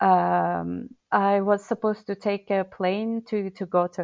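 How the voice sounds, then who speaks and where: A woman with a Turkish accent speaks at a medium pitch. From Turkey. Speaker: burnout and well-being coach. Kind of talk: interview.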